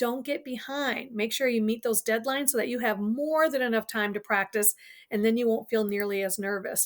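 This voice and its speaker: A woman with fairly high pitch speaks at a fairly quick pace with fairly even intonation on a very clean recording with a silent background. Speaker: college instructor. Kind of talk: lecture. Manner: fast.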